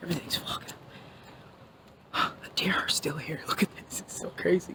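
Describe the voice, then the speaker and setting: Over noticeable background noise, a woman is whispering at a moderate pace with big swings in loudness. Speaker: paranormal investigator vlogger. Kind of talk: casual vlog walkthrough. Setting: outdoors. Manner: casual, chatty.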